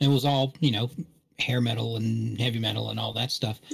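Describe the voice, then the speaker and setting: A man talks in an American accent, his voice somewhat breathy. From West Virginia and Augusta, US South. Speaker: podcast panelist. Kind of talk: casual chat. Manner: halting, many fillers.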